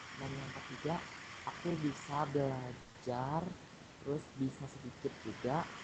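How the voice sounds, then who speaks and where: A man's fairly even intonation comes through above noticeable background noise. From Indonesia, Sumedang, West Java. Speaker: new university student. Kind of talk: casual introduction chat.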